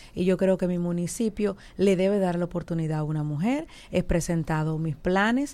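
Recorded very cleanly with a silent background, a woman speaks fairly slowly in a dark, mellow, fairly low-pitched voice with ordinary pitch variation. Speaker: politician. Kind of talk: interview.

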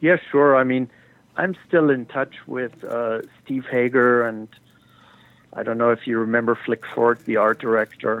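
Here is a man with a normal speaking voice and a medium pitch. His pace is fairly slow. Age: 60s. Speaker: cannabis photographer. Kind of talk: interview.

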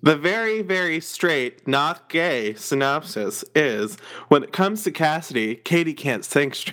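A man with an unremarkable speaking voice and an American accent speaks at a fairly slow pace and fairly high pitch, with lively intonation. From northern US. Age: 20s. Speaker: podcast host. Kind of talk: casual chat.

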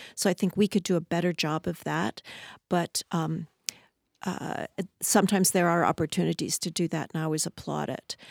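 A woman's fairly low voice with vocal fry, at a fairly quick pace and with fairly even intonation, in a dry, close sound with no echo and a very clean recording against a silent background. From Southern California. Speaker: architect. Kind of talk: interview. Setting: studio.

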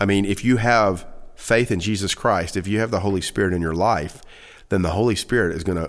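On a very clean recording with a silent background, a man speaks in an ordinary speaking voice with a fairly low pitch, ordinary pitch variation and a moderate pace. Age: 40s. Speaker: pastor. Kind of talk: casual chat.

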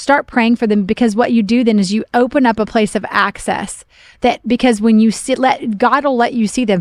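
A woman speaks in a normal speaking voice at a fairly quick pace. Her pitch is fairly high, with ordinary variation and very even loudness. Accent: American. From Oklahoma, US Midwest. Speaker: pastor. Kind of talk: casual chat.

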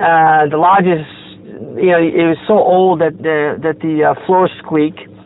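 Noticeable background noise behind a man's fairly high pitch, fairly slow delivery and ordinary pitch variation. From Italy. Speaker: Freemason lodge officer. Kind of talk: interview. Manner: hesitant, many fillers.

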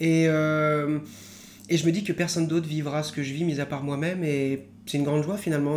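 A man speaks at a moderate pace with a fairly high pitch and fairly even intonation. Audible room echo surrounds the voice. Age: 20s. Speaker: qigong and martial arts practitioner. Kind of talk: interview about his life.

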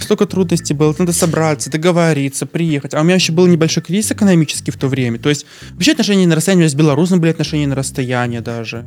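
Over noticeable background noise, a man talks at a very fast pace. His pitch is fairly high, with ordinary pitch variation. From Belarus, Novopolotsk. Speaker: podcast guest. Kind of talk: casual chat.

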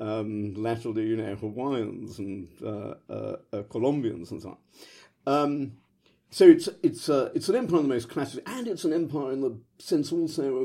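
Recorded very cleanly with a silent background, a man with a British accent and a medium-pitched, dark, mellow tone speaks at a moderate pace, his intonation lively and his loudness swinging widely. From London, England. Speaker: history professor. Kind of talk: academic interview answers.

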